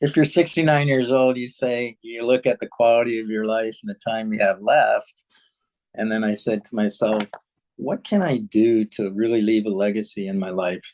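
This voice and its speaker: A man speaks at a moderate pace and medium pitch, with ordinary pitch variation, in an ordinary speaking voice. The sound is dry and close, with no echo. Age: 60s. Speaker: life coach. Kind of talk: interview.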